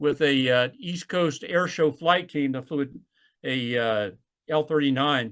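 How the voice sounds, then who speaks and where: Against a quiet background, a man with an Alabama accent talks at a fairly high pitch with ordinary pitch variation. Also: fairly slow pace. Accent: Southern US (Alabama). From US South, Alabama. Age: 60s. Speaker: retired naval flight officer. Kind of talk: oral history interview.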